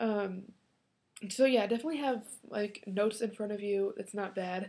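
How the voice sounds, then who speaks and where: Her voice has a dark, mellow tone at a medium pitch for a woman. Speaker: college student vlogger. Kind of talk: casual vlog. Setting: alone in a room talking to computer. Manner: fast when excited.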